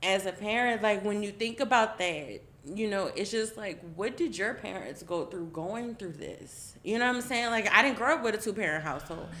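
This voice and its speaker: A woman's medium-pitched voice, bright and sharp in tone, with lively intonation at a moderate pace. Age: 30s. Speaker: roundtable participant, parent. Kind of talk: casual group discussion.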